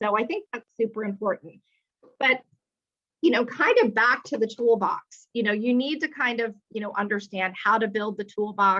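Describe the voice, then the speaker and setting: A woman speaks loudly at a moderate pace, her fairly high voice bright and sharp. Her pitch varies in an ordinary way. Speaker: retail executive. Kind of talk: webinar talk. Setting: video call. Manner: animated.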